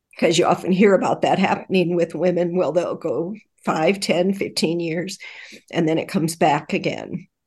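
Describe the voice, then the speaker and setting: With an unremarkable speaking voice, a woman talks fairly slowly, her fairly low pitch showing ordinary variation. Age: 60s. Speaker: retired dental hygienist, cancer survivor. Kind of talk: interview, personal testimony.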